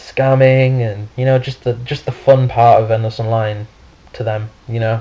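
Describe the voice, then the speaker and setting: A man's medium-pitched, monotone voice with a British accent and flat intonation, plus noticeable background noise. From United Kingdom. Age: young. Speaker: gaming YouTuber. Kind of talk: gameplay commentary. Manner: halting, many fillers.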